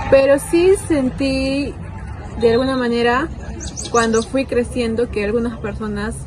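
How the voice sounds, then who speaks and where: There is noticeable background noise behind this woman. She talks fairly slowly at a fairly high pitch. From Peru, Arequipa. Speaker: documentary interviewee. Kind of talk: interview testimony.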